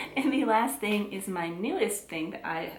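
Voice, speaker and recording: A woman with an American accent speaks at a moderate pace. Audible room echo and noticeable background noise fill the recording. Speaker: beauty and handbag vlogger. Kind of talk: casual product review to camera. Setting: at home. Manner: chatty, with frequent fillers and self-corrections.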